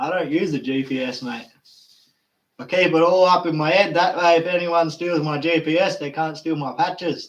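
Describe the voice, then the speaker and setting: The man has a high pitch with ordinary pitch variation. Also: moderate pace. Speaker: gold prospector and channel host. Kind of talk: live stream chat.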